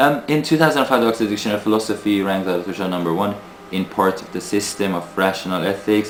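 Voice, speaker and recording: Noticeable background noise surrounds a man with a fairly low pitch. He speaks at a very fast pace. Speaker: video blogger. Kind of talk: casual video monologue. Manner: halting, many fillers.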